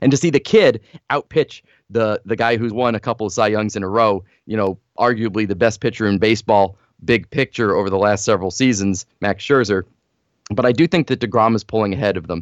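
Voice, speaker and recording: Against a quiet background with a dry, close sound and no echo, a man with an American accent talks in an unremarkable speaking voice at a fairly low pitch, with ordinary pitch variation and a fairly quick pace. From US Northeast, northern New Jersey. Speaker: baseball writer. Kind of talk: podcast interview.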